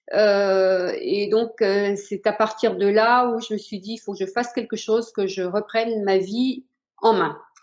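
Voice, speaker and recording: The delivery is rather unhurried. Its intonation is fairly even. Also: woman. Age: 60s. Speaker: patient giving testimonial. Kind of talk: testimony. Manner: hesitant, many fillers.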